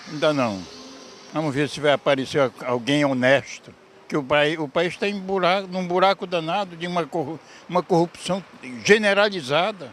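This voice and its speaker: Over noticeable background noise, a man talks at a fairly slow pace in a high pitch with ordinary pitch variation. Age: 80s+. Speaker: passerby interviewed. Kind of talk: street interview. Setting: outdoors on the street.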